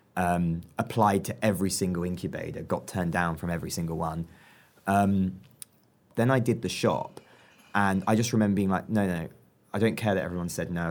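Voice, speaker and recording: A man with a southern English accent speaks very fast in a very deep, low pitch. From southern England. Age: 20s. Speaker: entrepreneur. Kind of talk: interview. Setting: club room. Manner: animated.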